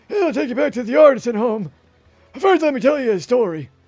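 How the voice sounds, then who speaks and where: Over faint music in the background, a put-on character voice moves at a fairly quick pace. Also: man, extremely high pitch for a man. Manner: wise, storyteller.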